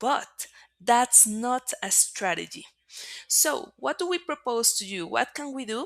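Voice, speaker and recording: Speaking with a Spanish accent, a woman talks at a fairly slow pace. Her high-pitched voice makes very wide pitch swings. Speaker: marketing agency presenter. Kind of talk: webinar presentation.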